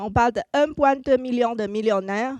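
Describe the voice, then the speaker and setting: Her pitch high and her intonation lively, a woman with a Chinese accent talks at a fairly slow pace. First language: Mandarin (speaking French). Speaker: marketing consultant and speaker. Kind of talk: conference talk.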